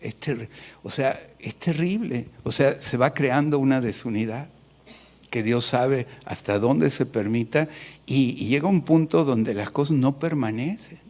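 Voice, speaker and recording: Fairly slow and medium in pitch, a man with an ordinary speaking voice talks with ordinary pitch variation. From Mexico City. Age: 60s. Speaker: pastor. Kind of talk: sermon.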